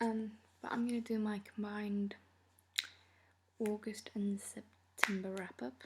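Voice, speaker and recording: Soft-spoken and fairly high-pitched, a woman talks at a fairly slow pace in a flat monotone, leaving long, frequent pauses. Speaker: book vlogger. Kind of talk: casual chat. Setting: filmed at night at home.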